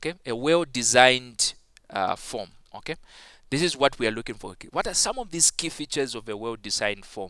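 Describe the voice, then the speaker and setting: On a very clean recording with a silent background, a man with a non-native accent and a medium pitch speaks at a fairly quick pace with lively intonation. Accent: non-native English accent noted by self. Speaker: ICT teacher. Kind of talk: tutorial. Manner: halting with many fillers.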